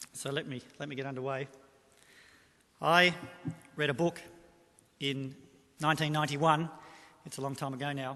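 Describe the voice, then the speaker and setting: A man with an Australian accent speaks at a fairly quick pace with a bright, sharp tone and a fairly high pitch. His intonation is monotone and flat, with big swings in loudness and long, frequent pauses. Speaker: economic forecaster. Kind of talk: presentation to business audience. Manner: halting.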